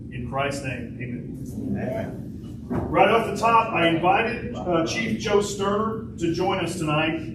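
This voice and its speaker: A man with a high-pitched voice talks at a fairly slow pace, his pitch swinging very widely and hardly any pauses between phrases. Noticeable background noise and audible room echo fill the recording. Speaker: town mayor. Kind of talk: town hall address. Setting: town hall meeting with audience. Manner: loud.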